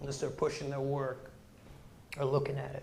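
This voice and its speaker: A man with an American accent amid audible room echo. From Chicago, Hyde Park. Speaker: graphic designer and educator. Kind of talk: guest lecture.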